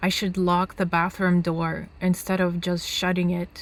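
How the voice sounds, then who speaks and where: In a Russian accent, a woman speaks at a very slow pace with medium pitch and flat, monotone intonation, on a very clean recording with a silent background. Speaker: author, nomad. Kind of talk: reading aloud.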